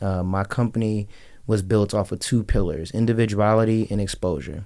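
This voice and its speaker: In an American accent, a man talks in an ordinary speaking voice, fairly low in pitch with ordinary pitch variation. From Las Vegas, Nevada. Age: 20s. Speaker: fashion designer and clothing business owner. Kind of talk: radio interview. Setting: radio studio.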